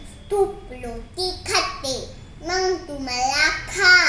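A woman's raised, projected voice with lively intonation over noticeable background noise. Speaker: storyteller. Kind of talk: children's story narration.

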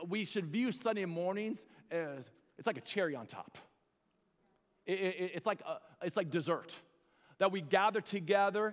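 Over a quiet background, a man with a high pitch and ordinary pitch variation speaks at a fairly slow pace with long, frequent pauses. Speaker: pastor. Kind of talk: sermon; fervent prayer, eyes-closed invitation to recommit. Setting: church with congregation. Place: stage. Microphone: headset.

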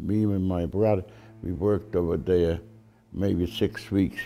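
With music in the background, a man talks at a fairly slow pace in a very deep, low voice. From Poland. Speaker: Holocaust survivor. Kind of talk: oral history interview answer.

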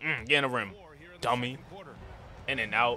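Over music in the background, a man talks in an animated tone at a medium pitch. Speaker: gaming YouTuber. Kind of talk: casual sports play-by-play commentary over video game footage. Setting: solo recording, voiceover on gameplay. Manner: animated, fast play-by-play delivery; casual, hype, slangy.

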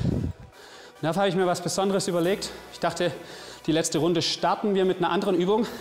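Faint music plays in the background as a man with a high pitch speaks at a moderate pace. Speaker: fitness trainer. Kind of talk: workout instruction. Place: gym. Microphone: lapel.

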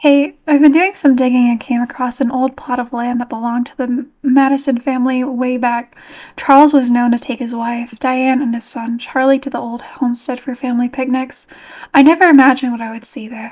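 Against a quiet background, a woman with a high pitch talks at a fairly quick pace, her loudness swinging widely. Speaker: livestreamer playing horror games. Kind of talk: casual livestream gameplay chat. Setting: live stream with online chat. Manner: animated, excitable. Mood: nervous, relieved, soft. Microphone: studio mic.

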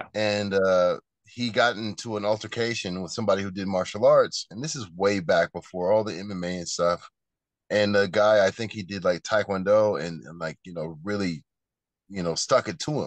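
Against a quiet background, a man with a fairly low pitch speaks at a moderate pace with ordinary pitch variation and big swings in loudness, the sound dry with no echo. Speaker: martial arts teacher, guest. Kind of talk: interview answer. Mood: relaxed storytelling.

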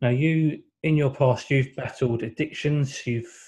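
Speaking with an English accent, a man sounds somewhat breathy with a dark, mellow tone. His intonation is fairly even. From England. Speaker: boxing interviewer. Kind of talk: interview. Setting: video call.

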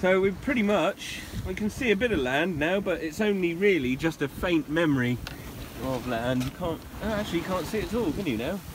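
Delivered at a fairly quick pace with lively intonation, the voice sounds dry with no echo, though noticeable background noise is present. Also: man, high pitch for a man. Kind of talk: casual vlog chat. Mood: cheerful, joking. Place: boat. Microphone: phone near.

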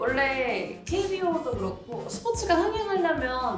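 A woman's voice comes through with audible room echo and clear music in the background. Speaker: panelist. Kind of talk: casual panel talk. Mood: playful, lively, laughing. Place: studio.

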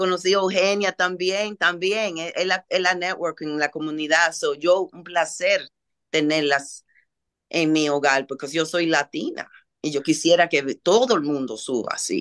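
Against a quiet background, a woman talks at a fairly slow pace in a fairly low pitch with ordinary pitch variation. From Dominican, raised in Washington Heights, New York; New York. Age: 60s. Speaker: holistic healing center owner; talk show guest. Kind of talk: interview. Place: home room. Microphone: video call.

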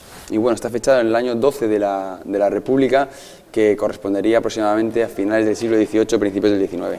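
A man speaks very fast with a Madrid accent. His pitch is fairly low and his intonation fairly even. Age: 30s. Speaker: physiotherapist living abroad; local guide. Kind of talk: casual interview.

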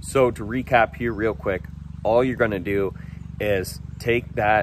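A man talks at a moderate pace in a normal speaking voice. The sound is dry with no echo, and there is light background noise. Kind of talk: tutorial recap to camera. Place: garden. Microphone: phone near.

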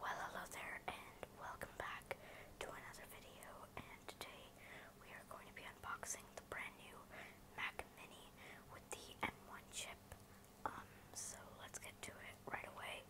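A whisper broken by long, frequent pauses. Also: moderate pace. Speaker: unboxing creator. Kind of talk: ASMR unboxing. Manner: whispered. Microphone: phone near.

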